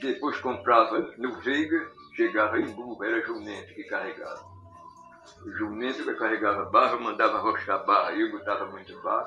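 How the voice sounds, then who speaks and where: Over music in the background, a man speaks at a moderate pace with big swings in loudness. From Pernambuco, Brazil. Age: 80s+. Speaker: potter. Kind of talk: interview answer.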